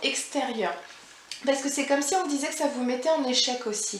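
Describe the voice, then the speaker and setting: A woman speaks at a high pitch. Audible room echo and noticeable background noise are present. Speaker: tarot card reader. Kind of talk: psychic reading. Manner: halting.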